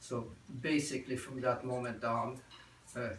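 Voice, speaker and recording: Amid noticeable background noise and audible room echo, a man speaks at a moderate pace with monotone, flat intonation. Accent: Belgian. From Belgium, Brussels. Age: 70s. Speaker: Holocaust survivor. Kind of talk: testimony. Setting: talk to a student group. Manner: halting, with many repetitions.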